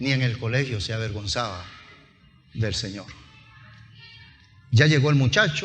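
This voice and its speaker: With music in the background and audible room echo, a man at a medium pitch speaks at a moderate pace with ordinary pitch variation and long, frequent pauses. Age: 60s. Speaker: pastor. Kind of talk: sermon. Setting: church.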